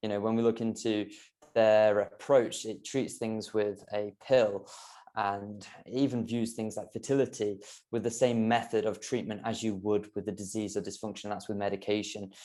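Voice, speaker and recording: Against a quiet background, a man with a British accent speaks at a moderate pace in a fairly low pitch, dark and mellow in tone with monotone, flat intonation. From UK. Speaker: health coach. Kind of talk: podcast interview. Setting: podcast.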